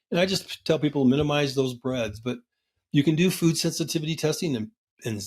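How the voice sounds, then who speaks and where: Fairly high-pitched, somewhat breathy man with an American accent and lively intonation at a very fast pace, on a very clean recording with a silent background. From US Midwest, Nebraska. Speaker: physician. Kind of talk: interview. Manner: hesitant fillers.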